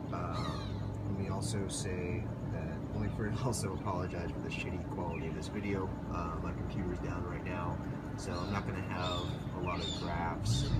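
A man's moderate-paced speech competes with loud background noise. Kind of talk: casual vlog commentary. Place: street. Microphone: phone near.

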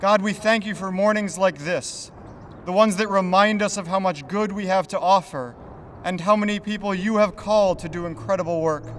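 This man talks at a fairly quick pace with a high pitch and fairly even intonation. Light background noise sits behind him. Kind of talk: prayer invocation. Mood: solemn, reverent. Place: street. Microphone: podium.

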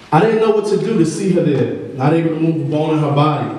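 Strong room echo surrounds a man's intense, fairly high-pitched voice as he speaks at a very fast pace. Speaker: behavioral coach and poet. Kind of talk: spoken word poem, performed. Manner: emotional, rhythmic, intense; urgent, dramatic, building tension. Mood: emotional, earnest. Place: hall.

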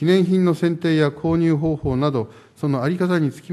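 This man has a fairly high pitch and a dark, mellow tone. He talks at a moderate pace. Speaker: mayor. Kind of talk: formal council answer. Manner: formal. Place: hall. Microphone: podium.

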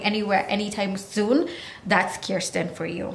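A woman talks at a moderate pace, and audible room echo follows her words. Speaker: vlogger reviewing a TV show. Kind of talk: casual vlog chat. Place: home room. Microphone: phone near.

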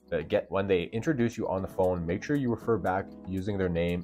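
Over faint background music, a man with a very deep, low pitch speaks at a fairly quick pace with ordinary pitch variation. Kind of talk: tutorial advice vlog. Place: home room. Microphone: lapel.

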